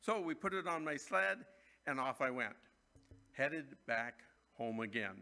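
A man is talking. The tone of his voice is bright and sharp. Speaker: pastor. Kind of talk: sermon. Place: church. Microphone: podium.

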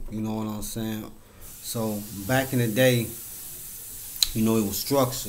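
A man with medium pitch, monotone, flat intonation and a moderate pace, over light background noise. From Chicago South Side; Chicago. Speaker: YouTuber. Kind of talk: casual monologue. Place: home room. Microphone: webcam.

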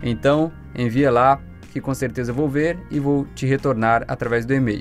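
There is faint music in the background as a man talks at a moderate pace. His pitch is medium, with ordinary variation. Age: young. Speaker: voice actor. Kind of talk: casual talk to camera. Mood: friendly, reassuring. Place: booth. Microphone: studio mic.

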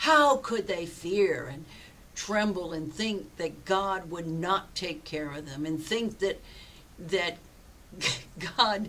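Speaking at a very slow pace, a woman leaves long, frequent pauses, her loudness swinging widely while her pitch varies in an ordinary way. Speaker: pastor. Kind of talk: sermon. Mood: earnest, personal storytelling. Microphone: webcam.

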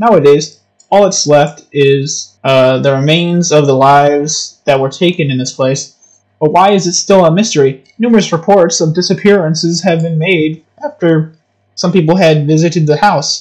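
A man talks with ordinary pitch variation and a moderate pace, the background quiet. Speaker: game streamer. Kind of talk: gaming commentary. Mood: casual, joking, mildly uneasy.

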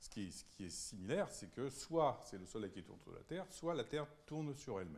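With vocal fry and a fairly high pitch, a man rushes at a very fast pace, his pitch swinging very widely and his loudness rising and falling sharply. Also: hardly any pauses. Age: 60s. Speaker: physics professor; lecturer. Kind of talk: public lecture. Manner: halting, many hesitations. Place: hall. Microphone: handheld.

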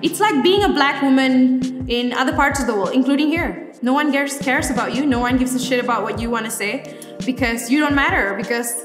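A woman talks very fast in a high voice while music plays clearly in the background. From Malaysia. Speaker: digital journalist. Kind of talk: interview answer. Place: studio.

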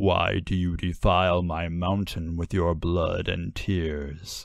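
A man puts on a booming character voice, pitched very deep and low. He speaks at a fairly slow pace.

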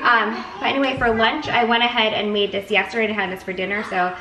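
A woman at a very fast pace with fairly even intonation, audible room echo and light background noise. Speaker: home cooking vlogger. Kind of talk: casual vlog chat. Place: kitchen.

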